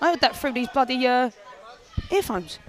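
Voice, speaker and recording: A woman speaks with a strong London accent in an animated tone. Noticeable background noise can be heard. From South London. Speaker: fighter. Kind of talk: casual chat.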